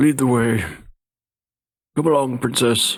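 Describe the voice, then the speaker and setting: The pitch is medium for this man. He uses a put-on character voice and talks fairly slowly. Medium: actual play.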